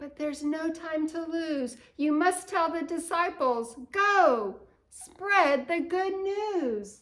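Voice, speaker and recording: A woman speaks in a put-on character voice, squeaky and extremely high-pitched. Her delivery is very slow, with lively intonation. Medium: read story. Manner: calm, gentle.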